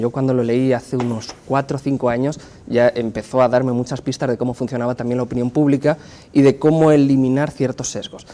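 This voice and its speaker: A man with a Spanish accent, medium in pitch, at a fairly quick pace. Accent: Spanish (Spain). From Spain. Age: 30s. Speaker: pollster and university professor. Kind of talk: interview.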